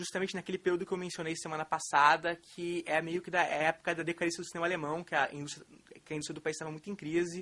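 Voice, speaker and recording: A man speaks in a high voice at a very fast clip. His intonation stays flat and monotone. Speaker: film critic lecturer. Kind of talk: lecture. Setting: auditorium with audience. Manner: hesitant, many fillers.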